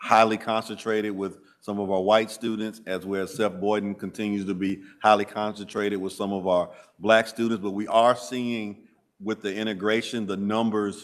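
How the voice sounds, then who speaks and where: A man speaks with a Southern US accent at a moderate pace. His fairly low voice stays monotone and flat. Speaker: school district administrator. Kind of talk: committee meeting presentation. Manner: halting.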